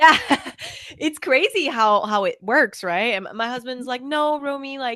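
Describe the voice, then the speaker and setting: A woman's raised, projected voice, high and bright with a sharp tone, at a fairly slow pace with lively intonation. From France, raised internationally. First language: French. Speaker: fashion content creator. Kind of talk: casual chat. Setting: call.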